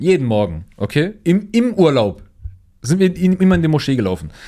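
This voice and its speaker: This man has an animated tone. His pitch swings very widely. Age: young. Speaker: podcast host and streamer. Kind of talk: casual chat.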